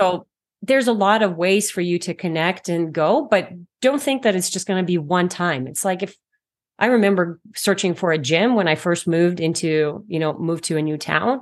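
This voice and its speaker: A woman with a Canadian accent, fairly low pitch and lively intonation, at a moderate pace over a quiet background, a plain, everyday voice. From Canada. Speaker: naturopathic doctor. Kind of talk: interview.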